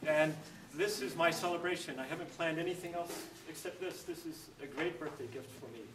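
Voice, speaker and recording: A man with a high voice talks at a fairly quick clip in fairly even tones, his loudness swinging widely, with audible room echo and noticeable background noise. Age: 50s. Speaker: event organizer introducing speaker. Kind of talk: introductory speech. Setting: church dining hall with audience.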